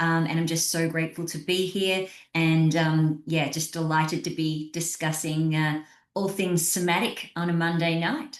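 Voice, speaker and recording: A woman with an Australian accent talks at a moderate pace. Her voice is fairly low, with monotone, flat intonation. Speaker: somatic coach. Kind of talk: panel discussion. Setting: video call.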